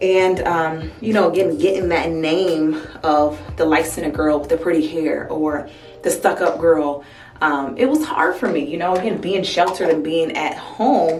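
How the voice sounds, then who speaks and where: With an American accent, a woman speaks in a fairly low pitch with ordinary pitch variation. Music plays in the background, and room echo is audible. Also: moderate pace. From US Midwest, Toledo, Ohio. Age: 20s. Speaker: beauty vlogger. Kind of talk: casual chat. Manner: casual, hesitant with many fillers.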